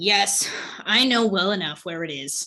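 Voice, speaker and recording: A raspy, put-on character voice at a moderate pace. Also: woman, medium pitch for a woman. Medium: read story. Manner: gruff, loud.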